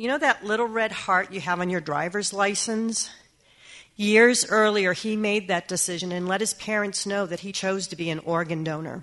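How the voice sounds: Speaking at a moderate pace, a woman has a fairly bright tone. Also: medium pitch for a woman, ordinary pitch variation.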